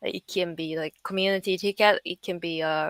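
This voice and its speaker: A woman with a Japanese accent and fairly even intonation, in a very clean recording with a silent background and a dry, close sound with no echo. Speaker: NFT artist and project founder. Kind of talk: interview. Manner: halting, many fillers.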